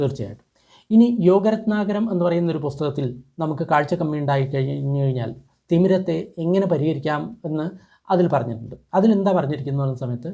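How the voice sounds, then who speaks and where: A man speaks with a fairly high pitch and a dark, mellow tone. His intonation is lively. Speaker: traditional medicine youtuber. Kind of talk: tutorial.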